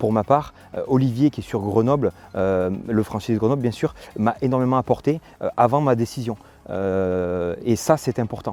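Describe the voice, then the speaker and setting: He is a man with a medium-pitched voice. His tone is dark and mellow. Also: ordinary pitch variation, moderate pace. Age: 30s. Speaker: franchise owner. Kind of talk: testimonial interview. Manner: hesitant, many filler sounds.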